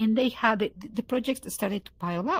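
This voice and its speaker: A woman's fairly high, somewhat breathy voice with lively intonation. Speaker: VR talk show co-host. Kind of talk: casual chat. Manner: fast; halting, many repeated words.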